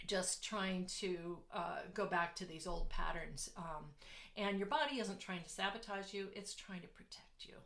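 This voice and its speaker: A woman at medium pitch, fairly slow, with audible room echo. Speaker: business coach. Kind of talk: online workshop talk. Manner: halting, many fillers.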